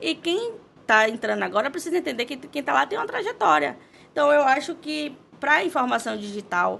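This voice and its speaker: A woman with a high pitch and a bright, sharp tone speaks at a moderate pace, her pitch swinging very widely. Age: 30s. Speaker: social media manager. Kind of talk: podcast interview.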